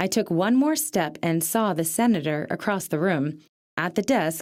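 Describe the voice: Plain reading aloud with lively intonation plays over a quiet background.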